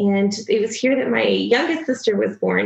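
Fairly high in pitch, a woman's voice shows vocal fry. It also has a slightly husky edge.

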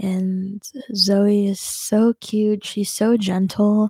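Recorded very cleanly with a silent background, a woman of medium pitch sounds somewhat breathy in a dry, close sound with no echo. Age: 20s. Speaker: video blogger who also teaches. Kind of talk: casual life update monologue. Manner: hesitant, many fillers.

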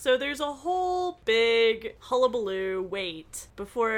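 This is a natural reading voice. The words are read out at their own rhythm.

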